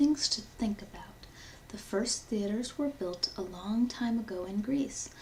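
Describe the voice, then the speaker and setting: Over noticeable background noise, a woman whispers at a fairly slow pace. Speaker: ASMR creator. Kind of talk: ASMR unboxing. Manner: whispered.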